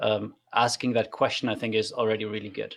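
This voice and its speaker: A man talks at a fairly quick pace. He speaks with a German accent. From Germany. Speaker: trainer. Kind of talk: casual chat.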